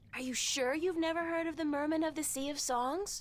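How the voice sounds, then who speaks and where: A woman speaks in a put-on character voice with an extremely high pitch. She talks at a fairly quick pace with fairly even intonation. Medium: video game.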